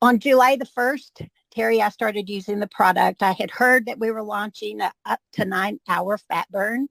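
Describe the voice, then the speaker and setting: Speaking at a moderate pace with hardly any pauses, a woman with a fairly high voice sounds dry and close, with no echo. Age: 60s. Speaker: product user giving testimonial. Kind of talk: testimony. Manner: animated.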